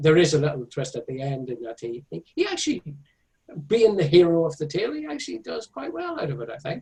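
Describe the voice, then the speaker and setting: Speaking at a very fast pace, a man with a dark, mellow tone sounds somewhat breathy and uses lively intonation. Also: fairly high pitch for a man. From Northern Ireland (Belfast, County Tyrone/Monaghan). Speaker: author and illustrator. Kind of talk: interview. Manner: halting, many fillers.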